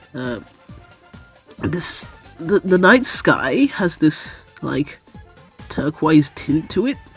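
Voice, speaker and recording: A woman's very deep, low voice, very slow with long, frequent pauses and very wide pitch swings, with music in the background. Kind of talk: casual commentary to camera. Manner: rambling, hesitant with many fillers.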